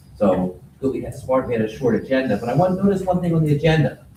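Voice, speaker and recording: Amid noticeable background noise and audible room echo, a man talks at a very fast pace with lively intonation. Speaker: resident speaking at public comment. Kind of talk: public comment. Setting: meeting hall microphone.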